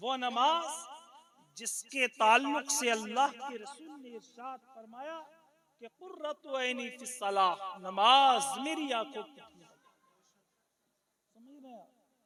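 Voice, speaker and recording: A man with an extremely high pitch uses a raised, projected voice, with big swings in loudness and ordinary pitch variation. He leaves long, frequent pauses. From Pilibhit, India. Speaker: Islamic preacher (maulana). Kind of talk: religious sermon at a public gathering. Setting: outdoor or hall gathering, night-time religious event.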